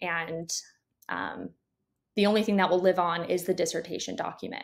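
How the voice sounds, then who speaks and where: A woman with an American accent speaks with fairly even intonation over a quiet background. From conservative religious area. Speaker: doctoral psychology student and researcher. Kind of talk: interview. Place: home room.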